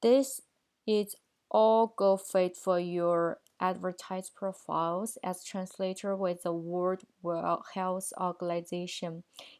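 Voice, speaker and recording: A woman speaks at a very slow pace in a Chinese accent, her pitch medium and intonation fairly even. The recording is very clean with a silent background. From China. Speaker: translation student. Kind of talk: video presentation for a course. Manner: formal.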